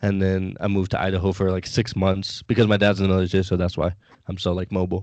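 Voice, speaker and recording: A very fast man's voice with an American accent, a very deep, low pitch and monotone, flat intonation against a quiet background. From US West Coast, San Diego. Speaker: sports podcast guest, fan graphic designer. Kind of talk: casual chat. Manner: halting, many fillers.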